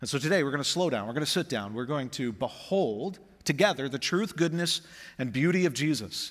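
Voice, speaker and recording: On a very clean recording with a silent background, a man with a normal speaking voice talks fairly high and fairly quickly, his intonation lively. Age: 40s. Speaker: pastor. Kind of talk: sermon.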